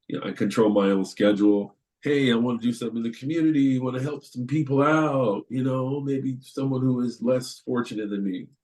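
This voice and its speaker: Using a normal speaking voice, a man talks at a medium pitch and a fairly quick pace with hardly any pauses and ordinary pitch variation. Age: 60s. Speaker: panelist, community volunteer in prison dialogues. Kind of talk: webinar panel testimony. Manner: conversational, with some repeated words.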